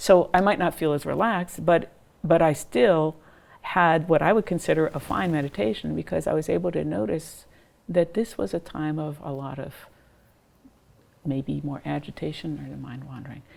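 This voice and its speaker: The tone is calm, with lively intonation. Vocal fry runs through the voice. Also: woman, very deep, low pitch for a woman, moderate pace. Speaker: psychiatry professor and mindfulness researcher. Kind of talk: interview.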